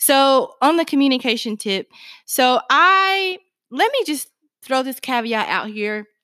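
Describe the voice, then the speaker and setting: In a very clean recording with a silent background, a woman speaks fairly slowly in a high, bright, sharp voice, raised and projected, animated in tone with very wide pitch swings. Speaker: podcast co-host. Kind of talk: casual chat. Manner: loud, excitable.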